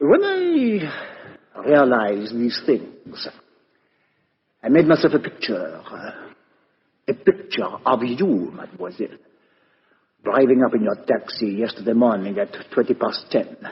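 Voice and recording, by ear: A man performs a put-on character voice with a husky, rough edge. His pitch swings very widely at a fairly slow pace. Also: medium pitch for a man.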